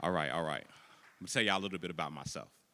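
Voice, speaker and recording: A man talks with vocal fry. His tone is bright and sharp. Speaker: spoken word poet. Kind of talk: spoken word performance to a live audience. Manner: energetic, engaging.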